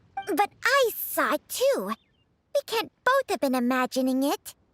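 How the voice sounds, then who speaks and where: Over music in the background, a put-on character voice speaks at a high pitch and a fairly slow pace. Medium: video game.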